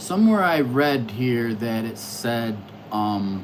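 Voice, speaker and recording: Noticeable background noise runs beneath speech that crawls along very slowly. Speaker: astrology livestreamer. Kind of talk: casual livestream monologue. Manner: loud.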